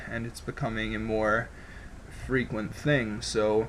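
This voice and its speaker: Here a man is speaking. His intonation is monotone and flat. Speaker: political commentary vlogger. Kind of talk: opinion commentary to camera. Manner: slow.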